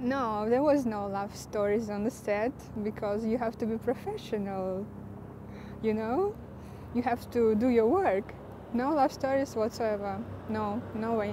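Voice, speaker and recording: Over noticeable background noise, the speaker talks at a fairly slow pace with fairly even intonation and long, frequent pauses. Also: woman. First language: not English, speaks three languages. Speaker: screenwriter and actress. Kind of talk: interview. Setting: film shoot interview with camera crew. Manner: hesitant, many fillers.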